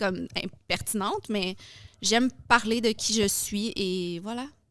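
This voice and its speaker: Recorded very cleanly against a silent background, a woman with an ordinary speaking voice talks at a fairly high pitch with ordinary pitch variation. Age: 30s. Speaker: fitness influencer and coach. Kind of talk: podcast interview. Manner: casual, many fillers.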